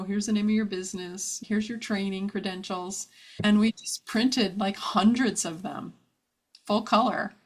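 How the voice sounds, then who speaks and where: Talking at a fairly quick pace, a woman with an American accent sounds somewhat breathy. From New Jersey (New Brunswick area). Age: 50s. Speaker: brand and web designer, entrepreneur. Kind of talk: podcast interview.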